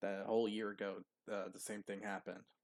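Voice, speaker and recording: A man speaks quietly at a fairly low pitch. His intonation is monotone and flat. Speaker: YouTube reaction creator. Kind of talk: reaction commentary. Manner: quiet, low voice; halting, many fillers.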